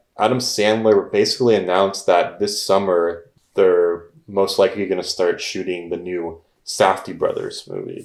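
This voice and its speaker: Mumbling, a man talks. His pace is moderate. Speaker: film podcast co-host. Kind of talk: casual chat.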